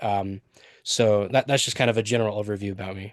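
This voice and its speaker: This man has a fairly low pitch and an American accent. Behind him the background stays quiet. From central Utah, US. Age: 20s. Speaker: job applicant. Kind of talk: job interview answers. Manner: hesitant, many fillers.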